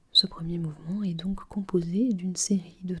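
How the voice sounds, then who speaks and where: A gentle, calm tone at a very slow pace. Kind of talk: ASMR literature lesson, explaining a poem analysis. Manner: soft-spoken, gentle, calm.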